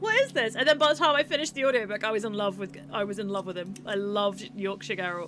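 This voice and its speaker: Lively intonation from a woman at medium pitch, very fast with hardly any pauses, amid noticeable background noise. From England, Devon. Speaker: game developer. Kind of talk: casual live stream chat. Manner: chatty, animated.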